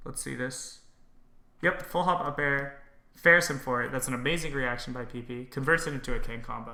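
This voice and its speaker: A man speaks at a fairly quick pace with a bright, sharp tone and some vocal fry. His pitch varies in an ordinary way, and there is audible room echo. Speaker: game streamer and commentator. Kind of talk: game analysis commentary. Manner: casual, with frequent fillers.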